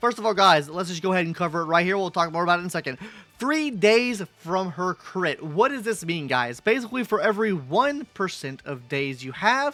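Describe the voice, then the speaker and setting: A man's raised, projected voice, high in pitch with very wide pitch swings, at a fairly quick pace over music in the background. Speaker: gaming content creator. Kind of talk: gaming guide commentary. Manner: fast; casual, stumbling.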